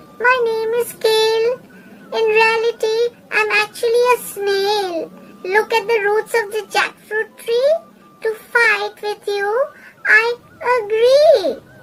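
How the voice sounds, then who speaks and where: A soft-spoken, squeaky put-on character voice at an extremely high pitch, delivered at a fairly slow pace. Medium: read story. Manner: rhyming, sly.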